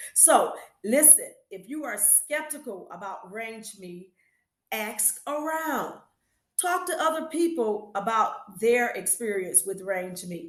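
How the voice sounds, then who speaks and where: In a room with audible echo, a woman with a fairly high voice speaks very slowly, her intonation lively and her loudness swinging widely. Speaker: business owner and small business educator. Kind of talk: talking-head review tutorial.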